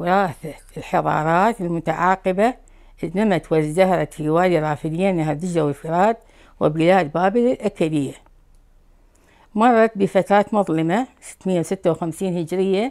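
A woman speaks with an Iraqi accent at a fairly slow pace. Her pitch variation is ordinary, and the background is quiet. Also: fairly low pitch for a woman. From Baghdad, Iraq. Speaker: Chaldean immigrant from Iraq. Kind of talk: interview answer. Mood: calm, measured. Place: home room.

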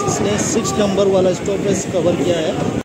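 Against crowd noise in the background, a man speaks at a very slow pace. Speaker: travel vlogger. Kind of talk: casual vlog chat. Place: train. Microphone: phone near.

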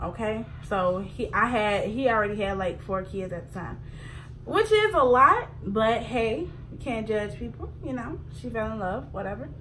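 Over clear background noise, a woman talks at a moderate pace with a fairly high pitch and lively intonation.

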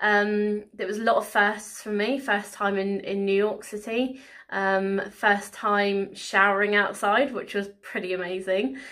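The background is quiet. A woman with a bright, sharp tone talks at a fairly slow pace. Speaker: vlogger. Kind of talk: casual vlog chat. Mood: happy, a bit emotional. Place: home room. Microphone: phone near.

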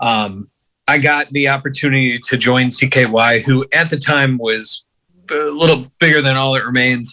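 A man speaks at a fairly slow pace with very even loudness and fairly even intonation. His tone is bright and sharp, and the background is quiet. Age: 30s. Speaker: bass player; podcast guest. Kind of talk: casual chat. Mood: relaxed, reflective. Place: home room. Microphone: phone near.

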